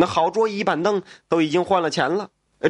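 Plain reading aloud. The background is quiet.

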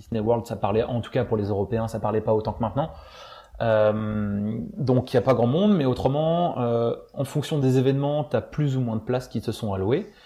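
Somewhat breathy, a man's voice carries a dark, mellow tone and normal pitch movement. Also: medium pitch for a man, moderate pace. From France. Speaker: former theme park employee. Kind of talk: casual chat. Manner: halting.

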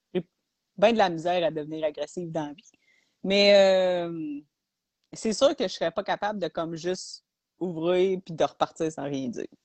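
A woman with a Quebec accent speaks in a fairly low pitch, her loudness swinging widely. She leaves long, frequent pauses. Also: ordinary pitch variation, moderate pace. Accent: Québécois French. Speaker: podcast co-host. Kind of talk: casual chat.

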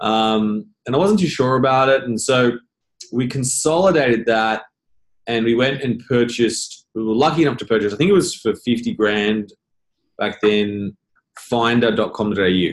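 A man with an Australian accent, medium pitch, moderate pace and ordinary pitch variation. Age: 40s. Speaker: business founder. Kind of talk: interview.

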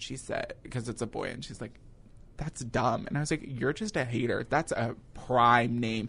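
This man has an ordinary speaking voice at a medium pitch, talking at a moderate pace with fairly even intonation. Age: 20s. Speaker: college student. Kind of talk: casual chat.

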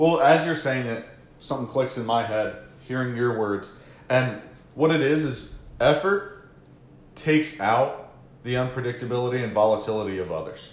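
With long, frequent pauses and ordinary pitch variation, a man talks over audible room echo. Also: medium pitch for a man, moderate pace. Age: 30s. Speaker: social media marketing podcast host. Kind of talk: casual chat.

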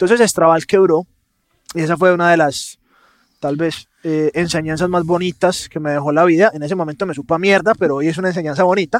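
A man speaks at a high pitch on a very clean recording with a silent background. The sound is dry and close with no echo. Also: fairly even intonation, fairly quick pace. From Colombia, Medellín (paisa). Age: 30s. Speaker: entrepreneur. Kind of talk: interview conversation.

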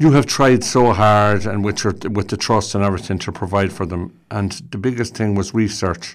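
A man with an Irish accent and a fairly low pitch, fairly even intonation and hardly any pauses at a moderate pace, on a very clean recording with a silent background. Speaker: radio host. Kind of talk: radio interview. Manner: warm, courteous.

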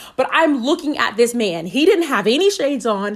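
Over noticeable background noise, a woman talks in an animated tone. Her voice is high, with very wide pitch swings. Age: 20s. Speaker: solo podcast host. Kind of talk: personal storytelling.

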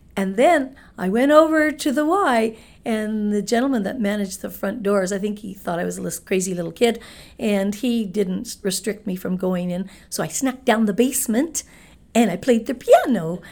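With a Canadian accent, a woman talks at a moderate pace in a plain, everyday voice. Her pitch is fairly high and her intonation lively. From Manitoba, Canada (Winnipeg). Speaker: real estate broker. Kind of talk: interview.

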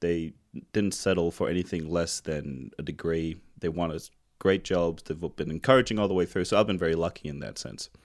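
Talking at a fairly quick pace, a man uses a very deep, low pitch with ordinary pitch variation. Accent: New Zealand. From New Zealand. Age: 30s. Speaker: podcast host. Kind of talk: casual interview chat.

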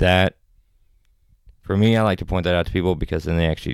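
The voice belongs to a man with a very deep, low pitch. His intonation is lively. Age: 30s. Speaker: actor and filmmaker. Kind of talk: casual chat.

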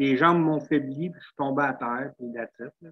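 With an ordinary speaking voice, a man talks at a fairly quick pace and fairly high pitch, using ordinary pitch variation. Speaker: person living with multiple sclerosis, wheelchair user. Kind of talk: casual interview chat. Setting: video call.

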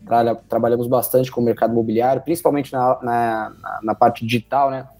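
A man's medium-pitched voice with fairly even intonation, amid noticeable background noise. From São José dos Campos, São Paulo state, Brazil. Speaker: podcast host, company partner. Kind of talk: business interview.

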